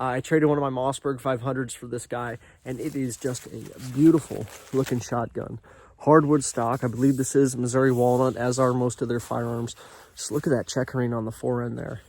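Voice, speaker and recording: In an enthusiastic tone, a man talks at a fairly quick pace with a medium pitch. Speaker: outdoors YouTuber reviewing firearms. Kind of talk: product review. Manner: casual, enthusiastic; a little loud.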